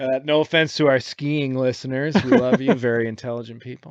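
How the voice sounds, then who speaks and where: Recorded dry and close with no echo, a man with an American accent and a plain, everyday voice talks at medium pitch with ordinary pitch variation and a moderate pace. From Michigan. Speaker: podcast host. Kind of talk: casual chat. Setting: aboard a sailboat.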